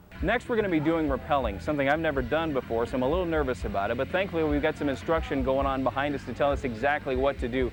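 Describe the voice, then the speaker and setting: Over music in the background, a man talks at a very fast pace with a fairly high pitch and lively intonation. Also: hardly any pauses. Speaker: TV news reporter. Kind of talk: on-location stand-up to camera.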